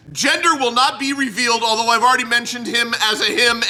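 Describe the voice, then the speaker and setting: A man speaks in a raised, projected voice at an extremely high pitch. Noticeable background noise is present. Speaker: podcast host. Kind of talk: casual chat. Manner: animated.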